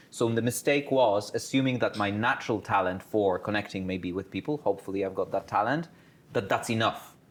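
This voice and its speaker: Fairly low in pitch with ordinary pitch variation, a man speaks at a fairly quick pace. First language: not English. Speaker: career talk speaker, PhD holder. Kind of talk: panel talk to students.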